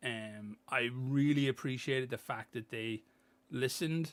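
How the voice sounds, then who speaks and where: The recording of this man with an Irish accent is very clean, with a silent background. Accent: Irish accent, remarked on by chat. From Ireland. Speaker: miniature painting streamer. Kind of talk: casual livestream chat, reading chat messages. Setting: livestream.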